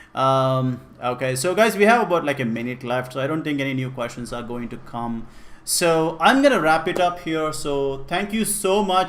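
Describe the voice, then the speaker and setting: At a moderate pace, a man with an Indian accent talks in a fairly high pitch with ordinary pitch variation. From India (Karnataka, Kannada-speaking). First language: Kannada. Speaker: programming teacher. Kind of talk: live-streamed class, casual Q&A. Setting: live stream. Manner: casual, with fillers and repetitions.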